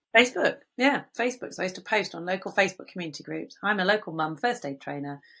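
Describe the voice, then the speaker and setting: Talking at a very fast pace with a slight West Country accent, a woman uses a bright, sharp tone, vocal fry, lively intonation and big swings in loudness on a very clean recording with a silent background. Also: medium pitch for a woman, hardly any pauses. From England, Bristol (West Country). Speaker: business founder, first aid trainer. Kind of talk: interview.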